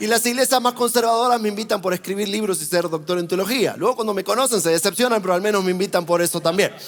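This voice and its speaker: The man's high voice races at a very fast pace, with ordinary pitch variation, as noticeable background noise plays underneath. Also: hardly any pauses. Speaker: traveling preacher. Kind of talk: sermon.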